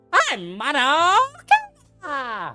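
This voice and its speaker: A loud, put-on character voice sits at a high pitch. Its pitch swings very widely over faint background music. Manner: loud, put-on cartoon voice.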